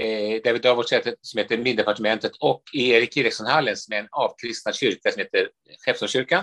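Very fast speech from a man, the sound dry and close with no echo. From Sweden, Stockholm from age eight. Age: 60s. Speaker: priest and author. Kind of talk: interview conversation.

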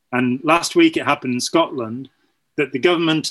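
A man speaks at a fairly high pitch with a British accent. The background is quiet. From United Kingdom. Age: 60s. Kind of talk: casual chat.

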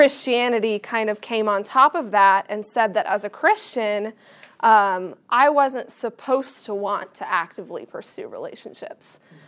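A woman with an unremarkable speaking voice talks at a fairly slow pace and a fairly high pitch, with ordinary pitch variation. Her loudness swings widely on a very clean recording with a silent background. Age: 20s. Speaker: campus ministry staff. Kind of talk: sermon. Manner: casual, with many fillers.

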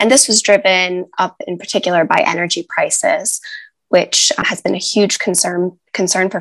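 At a moderate pace, a woman talks in a normal speaking voice with medium pitch. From United States. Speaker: journalist. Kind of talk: interview.

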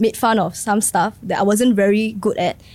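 A woman speaks with a Singaporean accent. Her pitch is fairly high. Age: 20s. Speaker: non-profit worker. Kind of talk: casual chat.

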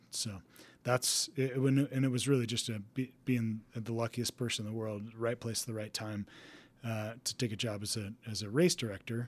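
In an ordinary speaking voice, a man with an American accent talks at a moderate pace and medium pitch with fairly even intonation, on a very clean recording with a silent background. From Texas. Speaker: race director and ultrarunner. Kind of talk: casual interview chat.

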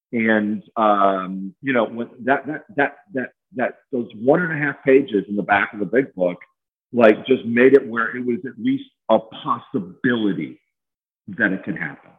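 A man's medium-pitched voice, an unremarkable speaking voice, moves fairly slowly with ordinary pitch variation. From Chicago. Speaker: recovering addict and Marine veteran. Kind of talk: casual interview testimony. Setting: home garage remote call.

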